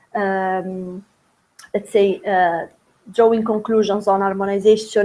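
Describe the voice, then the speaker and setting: A woman speaks in an Italian accent at a medium pitch. Her intonation is monotone and flat. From Italy. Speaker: doctoral researcher. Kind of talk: academic presentation. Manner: halting, many fillers.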